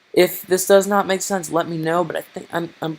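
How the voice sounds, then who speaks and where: With music behind him, a man talks at a medium speed. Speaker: game development tutor. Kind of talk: tutorial. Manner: put-on mobster-style voice.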